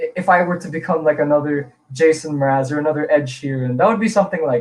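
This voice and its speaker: Very fast speech in an American accent with ordinary pitch variation. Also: man. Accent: sounds American, even in Filipino. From Philippines, from age eight; born in Illinois, US. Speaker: singer and songwriter. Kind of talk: live-streamed interview. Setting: live stream.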